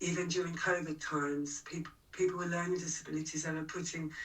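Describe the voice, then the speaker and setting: Flat, monotone delivery from a woman with a London accent, fairly low-pitched and fairly quick. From London, England. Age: 60s. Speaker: punk singer-songwriter and activist. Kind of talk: interview conversation.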